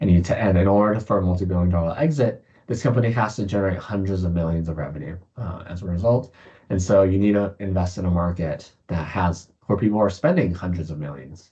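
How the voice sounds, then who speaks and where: A man's very deep, low, somewhat breathy voice with a dark, mellow tone, ordinary pitch variation and a very fast pace. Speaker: startup founder and investor giving a keynote. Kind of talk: keynote presentation with slides. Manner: many filler words and self-corrections.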